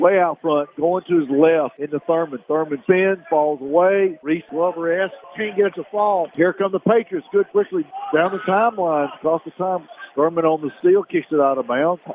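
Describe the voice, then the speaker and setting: A high-pitched man speaks at a moderate pace with ordinary pitch variation amid noticeable background noise. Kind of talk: live high school basketball play-by-play commentary. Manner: loose, folksy, chatty between plays.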